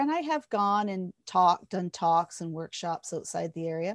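In a very clean, dry, close recording with a silent background and no echo, a woman with a Canadian accent speaks at a moderate pace and medium pitch with lively intonation in an unremarkable speaking voice. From Ontario, Canada (Hastings County). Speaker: hypnotherapist and workshop facilitator. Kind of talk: interview.

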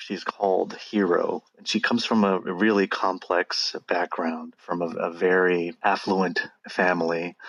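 A man with an American accent speaks fairly slowly in a very deep, low voice, flat and monotone, with hardly any pauses. The sound is dry and close, with no echo. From Los Angeles area, California. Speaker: English professor. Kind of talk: casual interview.

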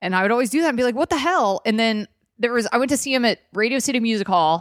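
A loud woman's voice, fairly high in pitch, with an American accent at a very fast pace, on a very clean recording with a silent background. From US South, Atlanta, Georgia. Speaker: comedian. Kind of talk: casual chat. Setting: studio.

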